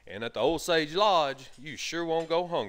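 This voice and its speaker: Vocal fry marks the fairly high-pitched voice of a man with an Alabama accent. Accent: Southern US (Alabama). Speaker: hunting show host. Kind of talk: outdoor show narration. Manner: animated.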